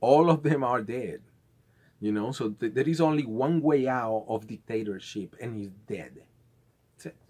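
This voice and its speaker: A man with a South American accent swings his pitch very widely. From Venezuela. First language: Spanish. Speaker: conspiracy vlogger. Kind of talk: casual monologue. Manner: halting, with many repeated words.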